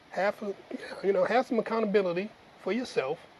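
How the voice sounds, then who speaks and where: With an American accent, a man speaks in a high voice over noticeable background noise. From US Midwest, Detroit. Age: 60s. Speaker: retired navy veteran. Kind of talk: interview.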